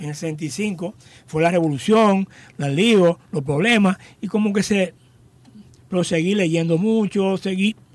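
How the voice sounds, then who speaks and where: A man speaks at a very slow pace, his pitch high with ordinary variation. Long pauses come often. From Dominican Republic, Higüey. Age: 60s. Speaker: journalist and PR agency founder. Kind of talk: interview, life story.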